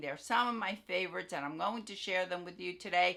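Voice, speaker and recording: An ordinary speaking voice from a woman at medium pitch, with ordinary pitch variation. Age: 60s. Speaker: beauty and wig content creator. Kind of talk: casual product favorites video. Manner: casual, with fillers and self-corrections.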